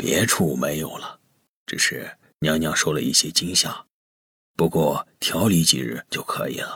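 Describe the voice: In a put-on character voice, a man speaks at a fairly slow pace with an extremely low pitch, a fairly bright tone, a slightly husky edge and ordinary pitch variation, on a very clean recording with a silent background.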